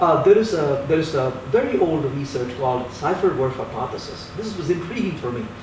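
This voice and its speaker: A man speaks at a fairly high pitch and a fairly quick pace, with lively intonation. The recording has audible room echo and noticeable background noise. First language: not English. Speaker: software developer and university teacher. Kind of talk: interview.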